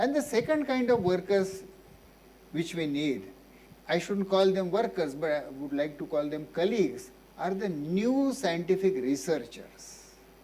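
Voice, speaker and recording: A man speaks at a fairly slow pace in a high pitch with very wide pitch swings. His tone is dark and mellow, and room echo is audible. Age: 70s. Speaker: physician and social activist. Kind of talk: Q&A after a public lecture.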